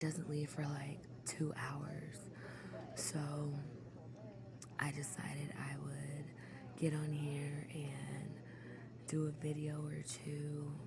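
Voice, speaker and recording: Words come at a very slow pace over noticeable background noise. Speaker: ASMR creator. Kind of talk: soft spoken ramble. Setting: airport, background ambience. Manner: soft-spoken.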